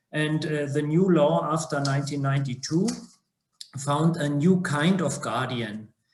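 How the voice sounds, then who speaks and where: A somewhat breathy man with a German accent, fairly high in pitch, speaking at a fairly slow pace with ordinary pitch variation amid audible room echo. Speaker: judge. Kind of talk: online seminar presentation. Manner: halting, many fillers.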